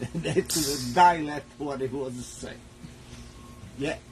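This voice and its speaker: With music in the background, a man with an Italian accent speaks with ordinary pitch variation. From Italy. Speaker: cooking show host. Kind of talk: live cooking stream, casual chat. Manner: halting.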